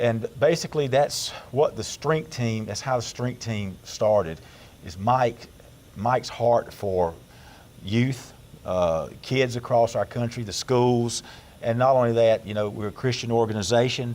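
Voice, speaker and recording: A man with a Southern US accent, medium in pitch, at a fairly slow pace with ordinary pitch variation. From Georgia, US South. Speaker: pastor and strongman team member. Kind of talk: radio interview. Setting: studio.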